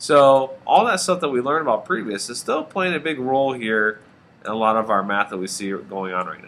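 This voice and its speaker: Speaking at a fairly quick pace, a man uses a plain, everyday voice at medium pitch, with lively intonation and big swings in loudness. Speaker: math teacher. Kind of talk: tutorial.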